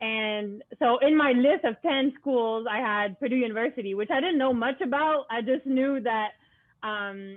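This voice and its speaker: A woman with a Quebec accent and a high pitch talks at a moderate pace with ordinary pitch variation. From Quebec, Montreal. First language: French. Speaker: student athlete and club founder. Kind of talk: interview.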